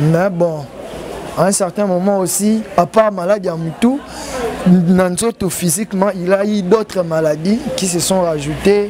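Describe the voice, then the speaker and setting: Crowd noise fills the background as the speaker goes at a fairly slow pace with long, frequent pauses. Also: man, high pitch for a man, ordinary pitch variation. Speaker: bereaved son of a deceased comedian. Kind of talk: interview. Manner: halting.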